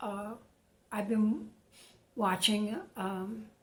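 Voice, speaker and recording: Noticeable background noise and audible room echo accompany a woman as she talks. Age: 70s. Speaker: retired woman vlogging about isolation. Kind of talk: casual monologue to camera. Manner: halting, many fillers.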